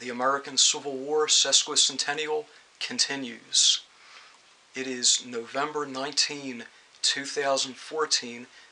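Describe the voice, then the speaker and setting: A man with a fairly high voice talks at a fairly slow pace and with fairly even intonation. Noticeable background noise runs under the speech. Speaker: record collector. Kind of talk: spoken video introduction.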